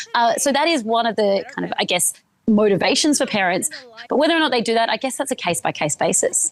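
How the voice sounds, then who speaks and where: With an Australian accent, a woman talks at a very fast pace, her fairly high pitch swinging very widely while her loudness stays very even. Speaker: journalist. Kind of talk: live news interview. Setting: remote live cross from Sydney.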